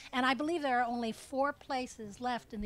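Bright and sharp in tone, a woman with an American accent speaks at a fairly quick pace and a fairly high pitch, with ordinary pitch variation in a dry sound with no echo. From US Midwest (Cleveland, Ohio); Ohio. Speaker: copy editor and author; interviewee. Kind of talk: public interview. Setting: stage with audience. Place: tent. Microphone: handheld.

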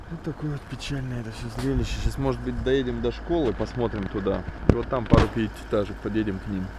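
The speech comes at a very fast pace with a dry, echo-free sound and loud background noise. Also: man. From Magadan region, Russia. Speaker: travel vlogger. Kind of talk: casual vlog narration. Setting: outdoors, travelling by car. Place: car. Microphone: camera far.

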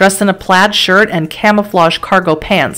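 The text is read aloud in a natural voice.

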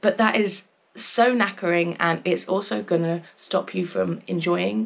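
This woman speaks in an English accent. Her intonation is lively. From England. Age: 20s. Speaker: travel vlogger. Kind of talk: casual vlog talk to camera. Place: home room.

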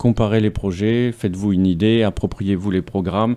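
A man with a fairly low pitch and a dark, mellow tone talks at a moderate pace with fairly even intonation. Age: 40s. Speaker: political candidate; election candidate. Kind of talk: radio interview; interview answer. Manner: halting. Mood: earnest, persuasive appeal to vote. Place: studio. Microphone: studio mic.

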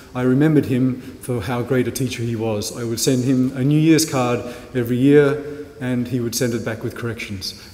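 At a fairly quick pace, a man of medium pitch speaks with fairly even intonation amid noticeable background noise. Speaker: university lecturer introducing speaker. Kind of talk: introductory speech. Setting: stage with audience. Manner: warm and jokey.

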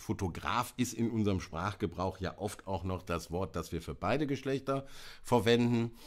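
Here a man talks at a moderate pace with lively intonation. The background is quiet. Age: 50s. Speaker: presenter. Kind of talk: live stream talk on photo history. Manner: hesitant, many fillers. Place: home room.

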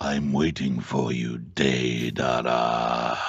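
A man growls in a put-on character voice at a very deep, low pitch. He speaks at a very slow pace with monotone, flat intonation. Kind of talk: interview answer. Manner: irritable, menacing.

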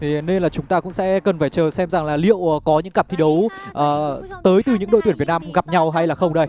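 The speech comes very fast with fairly even intonation, in a dry sound with no echo and light background noise. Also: man, high pitch for a man. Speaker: esports commentator. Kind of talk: live commentary. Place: studio. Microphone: handheld.

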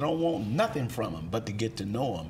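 Lively intonation carries the speech at a moderate pace over light background noise. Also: man. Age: 60s. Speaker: minister. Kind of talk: interview. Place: studio. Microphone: lapel.

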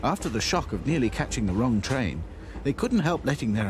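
Someone is reading aloud in a natural voice, with lively intonation.

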